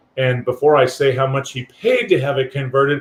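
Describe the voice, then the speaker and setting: A man's voice, fairly high in pitch and somewhat breathy. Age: 60s. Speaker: guest on a livestream, traveler with a converted ambulance. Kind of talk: casual chat. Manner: halting.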